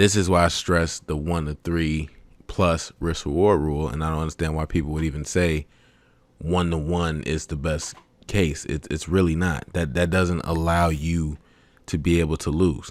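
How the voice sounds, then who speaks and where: This man's pitch is very deep and low. The intonation stays fairly even. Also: moderate pace, very clean recording, silent background. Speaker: forex trading educator. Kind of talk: tutorial. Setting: webcam recording. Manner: low, sometimes mumbling.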